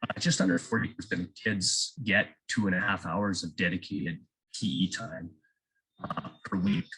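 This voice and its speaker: Bright and sharp in tone, a man with a Canadian accent talks at a moderate pace with a fairly low pitch. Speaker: physical education teacher. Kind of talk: presentation. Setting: video call.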